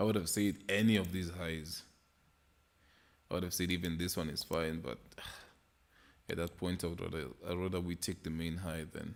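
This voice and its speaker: A man with a non-native accent speaks in a very deep, low voice at a moderate pace. His intonation is fairly even, and he takes long, frequent pauses. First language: not English. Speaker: trading livestreamer. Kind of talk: casual livestream market analysis. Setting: live stream with chat.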